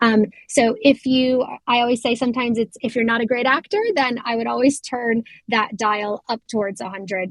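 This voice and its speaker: A woman with an American accent and an unremarkable speaking voice, fairly high in pitch, at a moderate pace, in a dry, close sound with no echo. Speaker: customer success lead giving product demo. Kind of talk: product demo tutorial. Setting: online community voice session. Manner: casual, frequent filler ums.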